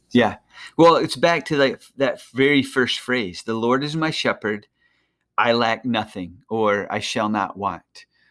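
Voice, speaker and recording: In a very clean recording with a silent background, a man with an unremarkable speaking voice talks fairly slowly at a medium pitch with ordinary pitch variation. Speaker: podcast host. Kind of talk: devotional podcast, casual chat with prayer. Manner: casual, joking.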